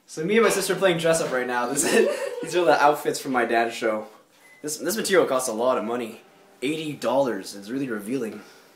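A man with a fairly high pitch talks at a very fast pace with lively intonation, amid audible room echo and light background noise. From Canada. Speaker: vlogger. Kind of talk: casual vlog. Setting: at home. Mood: playful, joking. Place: home room. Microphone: phone near.

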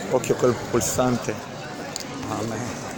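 Over clear background noise, a man with a medium-pitched voice speaks slowly, with little pitch movement.

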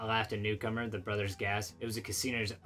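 Natural reading voice, start to finish

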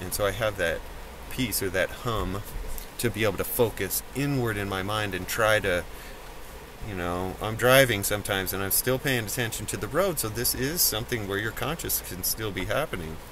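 Noticeable background noise surrounds this man's voice. The sound is dry, with no echo. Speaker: vlogger. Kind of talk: casual vlog chat. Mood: calm, relaxed. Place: car. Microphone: phone near.

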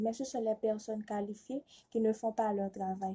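Against a quiet background, a woman's fairly high voice comes out somewhat breathy and dark and mellow in tone, in a monotone, flat intonation. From Haiti. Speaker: student contestant. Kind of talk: prepared speech for a reading contest. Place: home room. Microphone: phone near.

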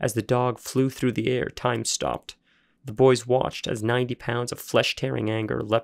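The reading is plain and aloud, its intonation fairly even.

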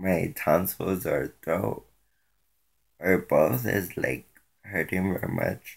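A man's hoarse voice at a very slow pace against a quiet background. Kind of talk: casual vlog chat. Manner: hoarse voice from sore throat. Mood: complaining, laughing a little. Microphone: phone near.

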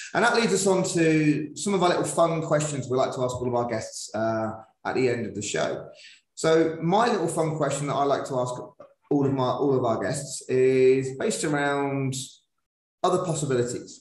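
A man with a northern English accent speaks at a moderate pace in a fairly high voice. His intonation is lively, and the room echo is audible. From northern England. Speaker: podcast host, PE teacher. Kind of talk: interview. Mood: friendly, upbeat. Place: home room. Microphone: video call.

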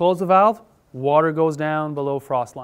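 A man speaks at a moderate pace with a Quebec accent. His intonation stays fairly even. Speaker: farmer and author. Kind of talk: conference talk. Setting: conference room with audience. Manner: halting. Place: hall.

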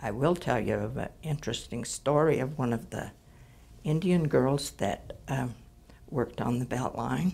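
A woman with an American accent, a very deep, low pitch, a dark, mellow tone, vocal fry, lively intonation, and a moderate pace. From Utah. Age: 70s. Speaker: retired coal miner. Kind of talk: oral history interview; interview answer. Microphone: lapel.

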